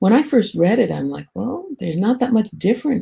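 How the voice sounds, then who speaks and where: Somewhat breathy and dark, mellow in tone, a woman talks with lively intonation. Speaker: quality management consultant and trainer. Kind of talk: webinar lecture. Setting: online webinar. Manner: fast.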